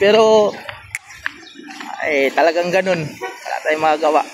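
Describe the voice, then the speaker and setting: With a Visayan accent, a man speaks at a moderate pace in a high pitch. Noticeable background noise is present. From Visayas, Philippines. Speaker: truck driver vlogger. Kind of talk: casual vlog talk and negotiation.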